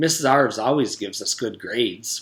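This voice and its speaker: A man's put-on character voice, medium-pitched and sing-song, at a fairly quick pace. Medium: read story. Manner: cheerful, sing-song.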